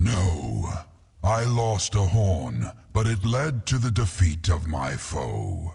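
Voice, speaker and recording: Very slowly, a man delivers a put-on character voice with a very deep, low pitch. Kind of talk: epic fantasy game voice acting. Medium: video game. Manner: proud, solemn, deliberate.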